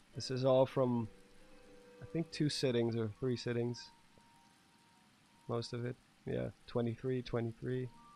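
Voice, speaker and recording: Music plays in the background as a man speaks at medium pitch and a fairly slow pace, with long, frequent pauses. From Netherlands. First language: Dutch. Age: 30s. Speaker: gaming streamer. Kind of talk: casual live stream commentary. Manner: animated.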